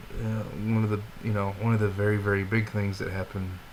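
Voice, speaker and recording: A man's fairly low voice, monotone and flat, at a moderate pace with audible room echo. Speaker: vlogger. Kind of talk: personal video diary. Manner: halting, disjointed speech.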